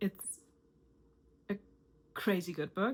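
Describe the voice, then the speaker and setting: A woman's somewhat breathy, medium-pitched voice with a non-native accent, at a moderate pace. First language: not English. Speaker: self-improvement YouTuber. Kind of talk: motivational talk to camera.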